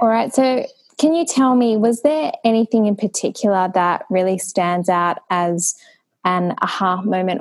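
At a fairly slow pace, a woman talks in an ordinary speaking voice with ordinary pitch variation. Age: 30s. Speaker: podcast host. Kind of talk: interview.

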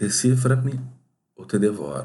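With vocal fry, a man's voice carries a dark, mellow tone. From southern Brazil, Porto Alegre. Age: 40s. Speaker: podcaster. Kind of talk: scripted narration.

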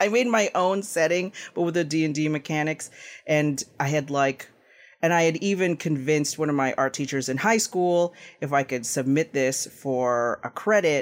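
A man with a plain, everyday voice, fairly high in pitch, with ordinary pitch variation at a moderate pace, in a very clean recording with a silent background. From Canada. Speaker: game designer. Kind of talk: interview.

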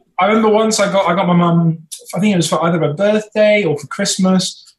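This voice carries an English accent. It moves along fairly quickly. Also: man. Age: 20s. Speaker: YouTuber, former teaching assistant. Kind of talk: casual chat.

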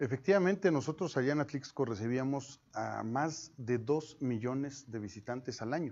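A man at a medium pitch speaks in a plain, everyday voice, with ordinary pitch variation, a moderate pace, and hardly any pauses. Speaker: mayor running for reelection. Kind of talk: interview.

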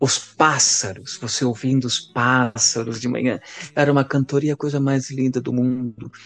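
With a normal speaking voice, a man talks at a moderate pace and medium pitch, keeping his intonation fairly even. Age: 40s. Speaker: priest. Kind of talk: casual chat.

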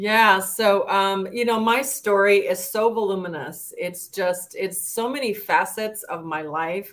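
A woman with an American accent and a plain, everyday voice speaks fairly slowly at a medium pitch with fairly even intonation. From El Paso, Texas. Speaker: author and entrepreneur. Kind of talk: interview.

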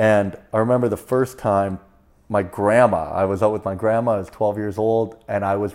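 A man with a Canadian accent, fairly low pitch, fairly quick pace, fairly even intonation and an ordinary speaking voice. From Canada, Prince George, British Columbia. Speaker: stand-up comedian, former pulp mill worker. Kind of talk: casual interview. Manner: casual, uses dude and man often.

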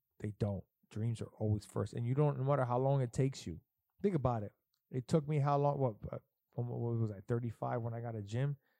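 A man speaks very fast in a dark, mellow tone with ordinary pitch variation, the sound dry and close with no echo. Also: medium pitch for a man. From Puerto Rican heritage. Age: 30s. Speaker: podcast host. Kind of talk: casual chat. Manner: animated.

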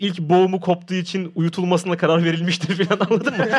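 The speaker is a man at a high pitch. He talks at a fairly quick pace. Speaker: podcast host visiting as guest. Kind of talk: casual chat. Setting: studio. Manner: loud; talkative.

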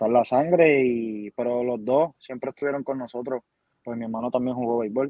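Fairly even intonation marks the speech. It is an ordinary speaking voice. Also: man. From Puerto Rico, Yabucoa. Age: 20s. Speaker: baseball player. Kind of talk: interview.

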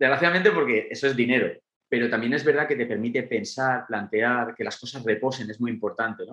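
Using a plain, everyday voice, a man speaks at medium pitch with ordinary pitch variation. He talks at a fairly quick pace. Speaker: documentary director. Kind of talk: interview.

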